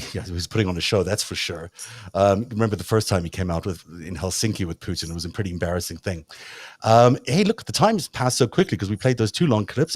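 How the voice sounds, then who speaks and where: In a South African accent, a man with a fairly low pitch and ordinary pitch variation talks very fast, the sound dry and close with no echo on a very clean recording with a silent background. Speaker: talk show host. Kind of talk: casual interview chat.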